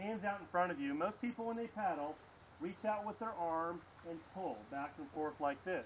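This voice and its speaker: A man speaks at a fairly quick pace in a high pitch with lively intonation. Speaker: kayak tour guide. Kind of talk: outdoor safety briefing. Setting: outdoors by a road. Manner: loud.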